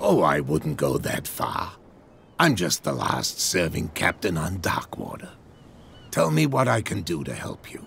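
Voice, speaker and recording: Putting on a raspy character voice, a man speaks at a moderate pace, very deep in pitch with lively intonation. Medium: video game. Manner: genial but evasive.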